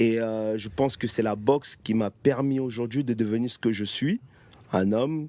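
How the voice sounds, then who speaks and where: A man with a Cameroonian accent and a dark, mellow tone at a fairly slow pace, with ordinary pitch variation, on a very clean recording with a silent background. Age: 30s. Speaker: professional boxer. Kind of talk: interview.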